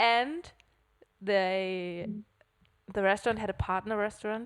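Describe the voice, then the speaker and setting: A woman with a German accent speaks at a fairly slow pace with fairly even intonation, on a very clean recording with a silent background. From Germany, Hamburg. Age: 20s. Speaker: podcast co-host. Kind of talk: casual chat.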